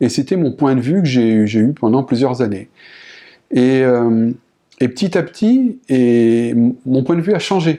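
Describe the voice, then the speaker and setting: At a fairly slow pace with long, frequent pauses, a man speaks in a medium pitch with a dark, mellow tone, very even loudness and lively intonation. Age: 50s. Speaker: painter. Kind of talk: interview testimony. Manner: halting, many repetitions and hesitations.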